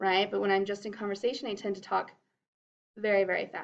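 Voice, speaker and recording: Fairly high in pitch, a woman's normal speaking voice moves at a fairly quick pace. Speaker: drama teacher. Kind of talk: lecture.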